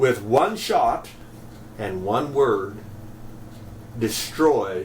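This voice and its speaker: This is a man speaking. His pitch is medium. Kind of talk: casual talk to camera, commentary.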